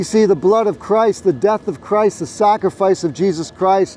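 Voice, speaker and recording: Over light background noise, a loud, high-pitched man speaks with ordinary pitch variation in a dry sound with no echo. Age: 60s. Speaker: street preacher. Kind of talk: street preaching, open-air sermon. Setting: outdoors on a college campus. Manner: loud, earnest, exhortative; direct, confident, pleading. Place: street.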